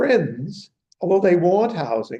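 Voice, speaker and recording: A man speaks with a dark, mellow tone. His pitch swings very widely. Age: 70s. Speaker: economics professor emeritus, seminar speaker. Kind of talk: Q&A discussion after a lecture.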